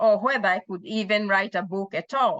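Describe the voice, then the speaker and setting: With a Kenyan accent, a woman speaks at medium pitch, the sound dry and close with no echo. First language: Kikuyu. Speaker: author. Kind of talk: personal storytelling about her book. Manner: halting, with self-corrections.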